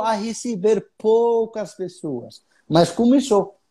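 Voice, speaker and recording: A man's dark, mellow tone with lively intonation and an Arabic accent. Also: very clean recording, silent background. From Egypt. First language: Arabic (speaking Portuguese). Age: 20s. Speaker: tour guide. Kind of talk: casual interview. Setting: live stream.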